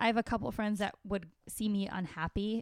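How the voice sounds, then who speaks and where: This woman has a plain, everyday voice. She speaks at a fairly quick pace with a medium pitch. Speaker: stand-up comedian. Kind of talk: casual interview chat.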